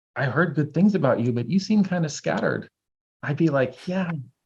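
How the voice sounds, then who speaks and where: Somewhat breathy, a man speaks with lively intonation. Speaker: herbalism teacher. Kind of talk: casual chat. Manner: fast; animated.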